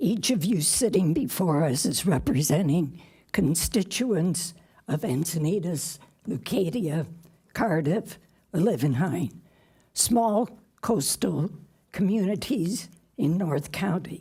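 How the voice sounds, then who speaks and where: At a very slow pace with long, frequent pauses, a woman speaks in a dark, mellow, somewhat breathy voice at a fairly low pitch, with lively intonation and very even loudness. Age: 80s+. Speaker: public commenter. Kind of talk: public comment speech. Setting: city council meeting.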